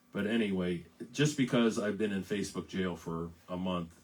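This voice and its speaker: A raspy man with an American accent speaks in a very deep, low voice. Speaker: singer-songwriter. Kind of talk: casual live-stream chat between songs. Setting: Facebook live stream. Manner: halting, many fillers and repeats.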